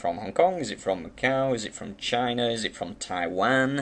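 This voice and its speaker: With a British accent, a man speaks using ordinary pitch variation. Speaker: banknote collector and video host. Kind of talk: casual show-and-tell tutorial. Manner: fast; hesitant, many fillers.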